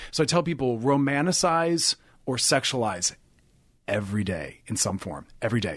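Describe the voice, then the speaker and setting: This man talks at a moderate pace with a medium pitch and very wide pitch swings. The background is quiet. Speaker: sex and relationship therapist. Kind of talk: casual interview chat.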